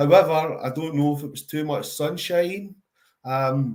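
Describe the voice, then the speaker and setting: Man with a strong Glaswegian accent, fairly high pitch, fairly even intonation and a fairly slow pace. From Scotland, Glasgow. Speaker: charity worker and father. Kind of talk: interview. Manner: slow and steady.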